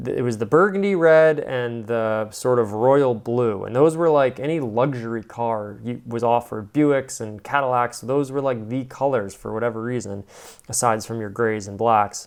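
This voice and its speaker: Against a quiet background, a man speaks at a medium pitch and moderate pace with ordinary pitch variation and hardly any pauses. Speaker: car reviewer, video host. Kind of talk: casual commentary on car photos. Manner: rambling, filler-heavy.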